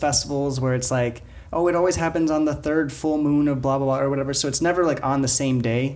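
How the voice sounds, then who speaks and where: This man's pitch sits fairly high, with ordinary variation. He has a normal speaking voice. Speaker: podcast host. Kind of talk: casual chat.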